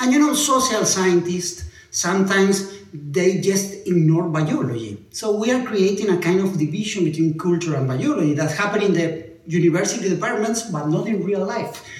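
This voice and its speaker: Over noticeable background noise, a man with an Argentine accent talks at a high pitch with lively intonation and hardly any pauses. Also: moderate pace. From Argentina. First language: Spanish. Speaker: neuroscientist. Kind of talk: lecture.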